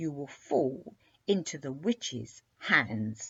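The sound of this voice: Growling in a put-on character voice, the speaker talks very slowly at a low-to-middle pitch.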